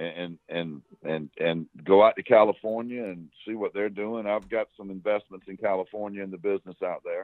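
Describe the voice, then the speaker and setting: A man with a Southern US accent, fairly low-pitched, fairly even in intonation, with big swings in loudness and hardly any pauses. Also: moderate pace. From South Carolina. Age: 60s. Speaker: former smuggler. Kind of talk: interview. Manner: halting, repeats words.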